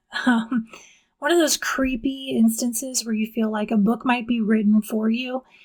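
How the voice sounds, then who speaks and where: A breathy, soft-spoken woman talks at a fairly high pitch. Her intonation is fairly even. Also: moderate pace. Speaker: book reviewer. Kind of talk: casual book review monologue. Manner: quiet, not projecting.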